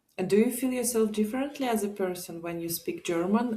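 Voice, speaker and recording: A somewhat breathy woman's voice with a Russian accent, dark and mellow in tone, at a fairly quick pace with ordinary pitch variation. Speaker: guest, immigrant mother. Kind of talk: casual interview chat.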